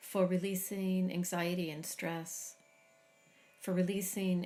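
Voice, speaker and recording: A woman speaks very slowly in a fairly low pitch, her tone calm and soothing, her intonation monotone and flat. Music plays in the background. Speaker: meditation guide. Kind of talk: guided meditation. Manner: slow, calm, soothing.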